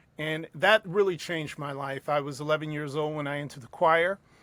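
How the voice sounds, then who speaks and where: The speaker talks at a moderate pace with a New York accent and fairly even intonation. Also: man. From US, New York City. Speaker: circus ringmaster and opera-trained singer. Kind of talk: interview.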